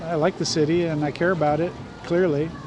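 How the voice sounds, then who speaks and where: Over noticeable background noise and audible room echo, a man talks at a high pitch in a monotone, flat intonation. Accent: American. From Southern California. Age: 60s. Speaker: former city councilman. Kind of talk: casual chat.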